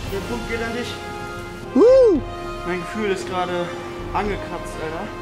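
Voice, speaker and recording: A man speaks at a moderate pace with clear music playing in the background. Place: forest. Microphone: camera far.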